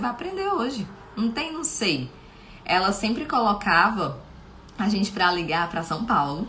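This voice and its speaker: A woman speaks with lively intonation. Her voice carries audible room echo amid noticeable background noise. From Brazil, Fortaleza, Ceará. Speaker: live show host. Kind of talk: live stream talk.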